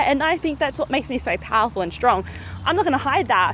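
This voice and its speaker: An energetic woman with an Australian accent, high-pitched and fairly quick, over noticeable background noise. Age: 30s. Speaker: mindset coach. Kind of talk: motivational talk to camera. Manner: fast.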